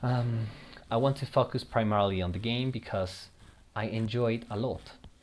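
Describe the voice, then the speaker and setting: This voice carries a Spanish accent and fairly even intonation. It moves at a moderate pace. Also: man, medium pitch for a man. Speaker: gaming YouTuber. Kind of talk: casual gameplay commentary. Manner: halting, with repeated words.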